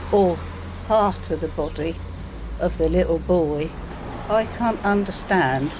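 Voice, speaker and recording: A woman with a fairly low pitch is heard through audible room echo and noticeable background noise. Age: 70s. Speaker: village resident. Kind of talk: street interview.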